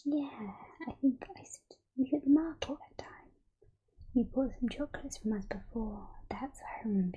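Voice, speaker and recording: Whispering and soft-spoken, the speaker goes at a moderate pace. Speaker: ASMR roleplay performer playing a chocolate shop keeper. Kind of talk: ASMR roleplay, shop-keeper talk to the listener. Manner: soft-spoken, whispery.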